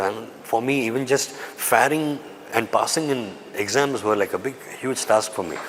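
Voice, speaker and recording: Medium-pitched male speech in a Tamil accent with ordinary pitch variation, over noticeable background noise. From raised in Dubai, Tamil family. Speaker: actor. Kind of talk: interview.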